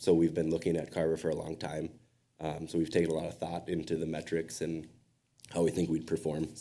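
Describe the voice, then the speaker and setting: In a put-on character voice that is raspy, the speaker talks at a fairly quick pace with monotone, flat intonation. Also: man, very deep, low pitch for a man. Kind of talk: professional business talk.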